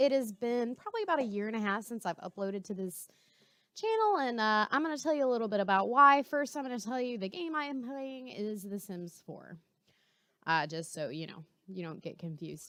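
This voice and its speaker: A woman speaks fairly quickly at a fairly high pitch, her bright, sharp tone rising and falling very widely in pitch and swinging a lot in loudness. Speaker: gaming youtuber. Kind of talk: casual vlog chat. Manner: fast; chatty with many fillers.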